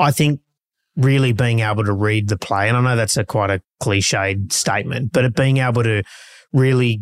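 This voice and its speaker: Heard dry and close with no echo on a very clean recording with a silent background, a man with an Australian accent speaks fairly quickly at a medium pitch with ordinary pitch variation. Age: 40s. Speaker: real estate auctioneer. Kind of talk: casual interview.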